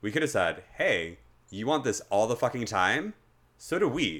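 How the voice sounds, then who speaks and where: Very clean recording with a silent background. A man speaks in a bright, sharp tone, his pitch swinging very widely. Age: 20s. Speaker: podcast host. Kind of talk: casual chat about mental health.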